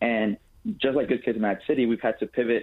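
Here a man speaks in an ordinary speaking voice. His pitch is medium, and his intonation is fairly even. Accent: American. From Chicago South Side. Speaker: youth peace organizer. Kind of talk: radio interview.

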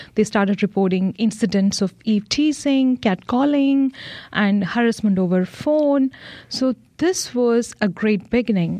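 The tone is dark and mellow, with ordinary pitch variation and very even loudness. The background is quiet. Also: woman, fairly high pitch for a woman. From India. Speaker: police officer. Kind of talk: radio interview. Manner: halting.

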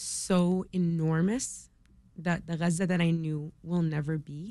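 A woman with an American accent talks at a very slow pace, her fairly low pitch following fairly even intonation. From Chicago area, US. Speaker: law student, relative of people in war zone. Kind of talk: radio interview.

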